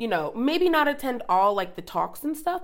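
A woman with an American accent and an ordinary speaking voice, lively intonation, and a fairly quick pace. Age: 20s. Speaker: podcast co-host. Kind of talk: casual chat.

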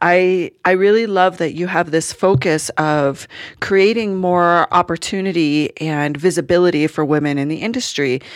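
In a very clean recording with a silent background, a woman speaks in an enthusiastic tone at a moderate pace, with ordinary pitch variation and hardly any pauses. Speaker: podcast host. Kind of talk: interview.

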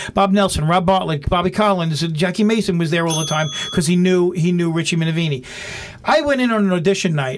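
A man speaks in a New York accent at a high pitch and a fairly quick pace. Noticeable background noise is present. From New York (Brooklyn, then Long Island). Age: 50s. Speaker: stand-up comedian. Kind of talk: casual interview chat.

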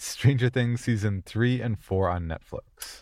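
A man with an American accent and a dark, mellow tone speaks at a moderate pace in a very clean recording with a silent background. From Minnesota. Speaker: horror podcast host. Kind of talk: casual chat.

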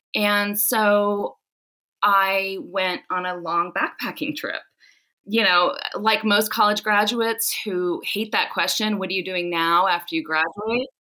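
In a very clean recording with a silent background, a woman uses a bright, sharp tone at a medium pitch, ordinary pitch variation and a fairly slow pace. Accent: American. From Southern California. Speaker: author and essayist. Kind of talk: interview; reading aloud.

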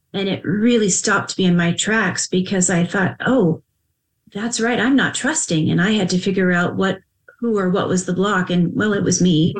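A woman with an unremarkable speaking voice talks at a moderate pace and medium pitch, with ordinary pitch variation and very even loudness. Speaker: podcast host and psychic medium. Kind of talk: interview. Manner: warm, effusive.

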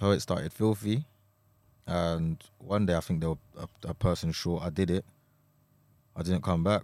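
A man with a London accent speaks at a moderate pace, with a very deep, low pitch, fairly even intonation and long, frequent pauses. The sound is dry and close with no echo, in a very clean recording with a silent background. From Essex, England. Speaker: rapper. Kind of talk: casual chat.

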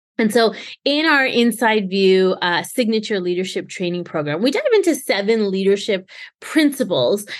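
A woman with a Canadian accent speaks in a medium pitch at a moderate pace, with lively intonation. Her tone is energetic and enthusiastic against a quiet background. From Canada. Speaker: podcast host and leadership trainer. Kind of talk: solo podcast monologue. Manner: energetic, enthusiastic.

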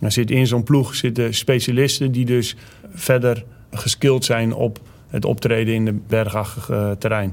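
A man at a medium pitch speaks at a fairly slow pace with fairly even intonation. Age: 40s. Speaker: army commando instructor. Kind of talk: interview. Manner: hesitant, many filler sounds.

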